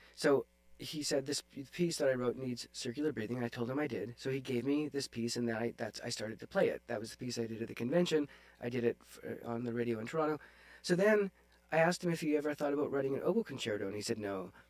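Talking at a very fast pace, a man with a Canadian accent uses a medium pitch and ordinary pitch variation. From Northern Ontario, Canada (Sudbury); Ontario. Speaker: oboe player; podcast guest. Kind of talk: casual interview chat. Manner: hesitant with many fillers. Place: home room. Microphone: studio mic.

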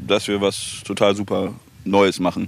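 A man's voice comes through dry, with no echo. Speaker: rapper. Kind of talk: casual interview. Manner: giggly. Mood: relaxed, joking. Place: waterside. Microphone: handheld.

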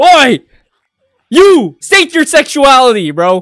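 Using a put-on character voice, a man speaks at a fairly slow pace. His pitch is extremely high. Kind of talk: reaction commentary. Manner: shouty, aggressive.

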